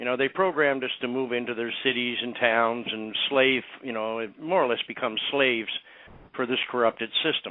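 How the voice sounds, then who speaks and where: A man at medium pitch, a normal speaking voice, fairly even intonation and a moderate pace. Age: 60s. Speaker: medical cannabis activist. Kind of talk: interview. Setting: radio show interview.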